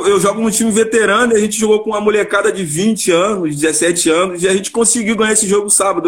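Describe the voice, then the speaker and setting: A man talks at a very fast pace in a high voice with ordinary pitch variation over noticeable background noise. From Rio de Janeiro, Vila da Penha. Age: 30s. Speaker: amateur football player. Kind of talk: casual chat.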